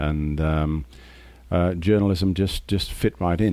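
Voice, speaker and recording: The voice carries an Australian accent and a dark, mellow tone. Its pace is moderate. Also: man. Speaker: audiobook narrator and journalist. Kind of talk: casual interview chat. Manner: storytelling, humorous, laughs often.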